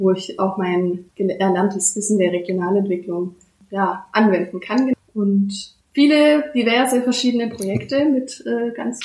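A woman with a plain, everyday voice of medium pitch speaks at a fairly slow pace with lively intonation. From Baden-Württemberg, Germany (Bad Mergentheim, Fellbach). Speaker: regional development worker. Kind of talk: interview.

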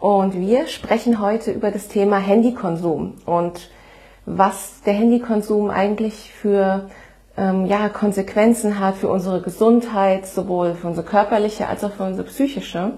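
A woman speaks with a dark, mellow tone at a medium pitch. Her voice is somewhat breathy. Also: fairly even intonation, moderate pace. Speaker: podcast host. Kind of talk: casual chat.

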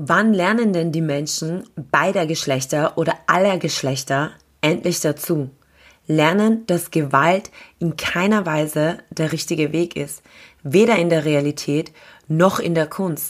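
On a very clean recording with a silent background, a woman speaks at a very slow pace in a fairly low pitch with ordinary pitch variation. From Austria (grew up there after arriving as a refugee). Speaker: radio host and event organizer. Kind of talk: scripted monologue.

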